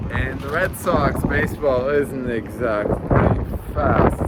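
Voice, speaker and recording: Audible room echo and noticeable background noise surround a man speaking. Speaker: vlogger. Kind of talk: vlog narration. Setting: outdoors walking in city; gym treadmill. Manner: fast; animated.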